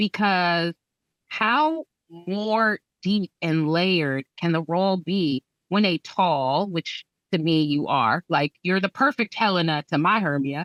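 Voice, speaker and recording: A woman with an American accent speaks very slowly at a fairly low pitch, with ordinary pitch variation and very even loudness. The recording is very clean, with a silent background. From California. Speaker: theatre artist. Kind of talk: casual chat.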